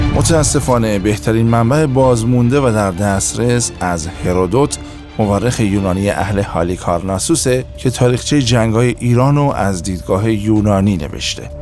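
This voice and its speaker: Music plays in the background as a man with a fairly low voice talks at a moderate pace. His intonation is lively, with hardly any pauses. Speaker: voice actor. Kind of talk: history documentary narration.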